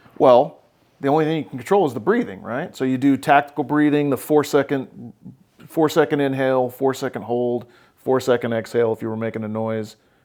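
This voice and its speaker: A man with an American accent has an ordinary speaking voice. His pitch is medium, with ordinary variation. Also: fairly quick pace. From Oklahoma. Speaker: therapist and podcast host. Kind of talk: therapy session conversation.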